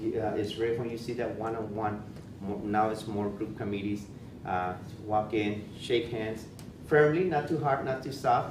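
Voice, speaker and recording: A man speaks at a moderate pace and medium pitch with fairly even intonation, with noticeable background noise and audible room echo. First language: Spanish. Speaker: school principal. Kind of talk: presentation. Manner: halting, many fillers and repetitions.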